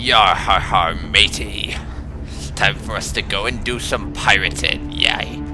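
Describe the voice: Over loud music in the background, someone does a put-on character voice at a fairly slow pace. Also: man.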